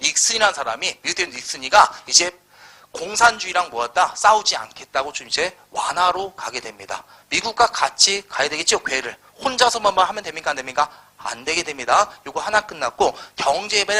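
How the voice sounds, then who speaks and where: Lively intonation and an animated tone carry this fairly quick speech over noticeable background noise. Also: man. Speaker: history lecturer. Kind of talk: lecture. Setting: live classroom lecture.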